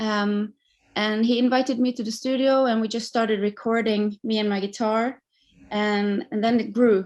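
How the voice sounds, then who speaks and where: In a Norwegian accent, a woman with a fairly high pitch speaks at a moderate pace with monotone, flat intonation against a quiet background. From Norway. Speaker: singer-songwriter. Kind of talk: interview.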